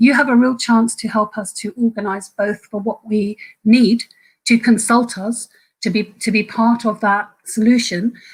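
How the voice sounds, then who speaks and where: A woman speaks at a moderate pace in a fairly high pitch. Her voice is somewhat breathy and flat in a monotone. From Ireland. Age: 50s. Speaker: trade union activist. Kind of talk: webinar talk. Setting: online webinar. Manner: halting.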